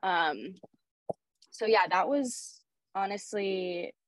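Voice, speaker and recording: The voice carries a Pacific Northwest accent and ordinary pitch variation. The sound is dry and close, with no echo. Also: woman. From Oregon, Portland area. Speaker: professional soccer player. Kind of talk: interview conversation.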